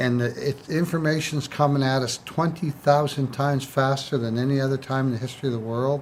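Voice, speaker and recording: A plain, everyday voice, a man's, fairly high in pitch and fairly quick, with hardly any pauses and fairly even intonation. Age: 60s. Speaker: used car dealer. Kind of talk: casual chat.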